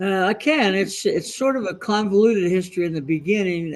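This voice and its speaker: The pace here is moderate. A man speaks, his pitch moving with ordinary variation. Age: 70s. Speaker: project management consultant and trainer. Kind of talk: interview. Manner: halting, frequent uh fillers.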